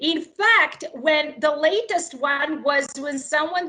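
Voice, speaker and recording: At a very slow pace, someone speaks with a Serbo-Croatian accent over noticeable background noise. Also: woman. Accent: Balkan (Serbo-Croatian) accent in English. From Yugoslavia. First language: not English; English is her third language. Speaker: political candidate. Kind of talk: political interview.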